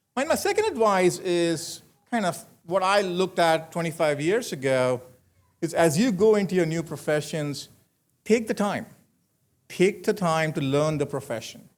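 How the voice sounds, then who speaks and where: Speaking with an Indian accent, a man has a high pitch with ordinary variation. His pace is moderate, and the recording is very clean, with a silent background. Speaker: commencement speaker, manufacturing executive. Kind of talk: commencement speech. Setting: graduation ceremony with audience.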